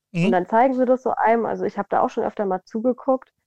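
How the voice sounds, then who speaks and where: Dry and close with no echo, the recording holds a woman's dark, mellow tone. She moves at a fairly quick pace. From southern Hesse, Germany. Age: 20s. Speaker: model. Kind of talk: casual interview. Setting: remote call. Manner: animated, frequent laughter.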